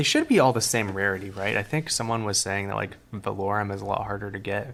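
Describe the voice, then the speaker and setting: A man speaks quietly with vocal fry. His pace is fairly quick. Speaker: card collector streamer. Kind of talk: live stream card reveal. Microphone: mic placed close, odd room acoustics.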